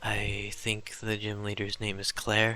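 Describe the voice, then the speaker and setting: A soft-spoken man with a fairly low pitch talks in a relaxed tone. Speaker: gaming video creator. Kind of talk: relaxing let's play commentary. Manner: very quiet, soft-spoken; relaxed, improvised with fillers.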